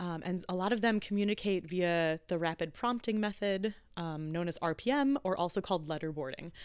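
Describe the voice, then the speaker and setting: In a very clean recording with a silent background, a woman with a medium pitch talks at a fairly quick pace. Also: ordinary pitch variation. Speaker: soprano and arts organization co-founder. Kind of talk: casual interview. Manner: enthusiastic, animated.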